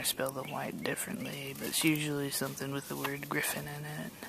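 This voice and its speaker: Noticeable background noise behind a woman in an American accent. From Georgia, US South. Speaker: vlogger. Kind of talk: casual chat. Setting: outdoors.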